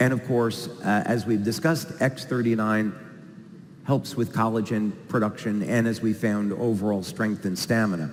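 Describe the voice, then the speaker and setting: A man has an unremarkable speaking voice at medium pitch with ordinary pitch variation. He keeps very even loudness at a moderate pace. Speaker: product presenter. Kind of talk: presentation.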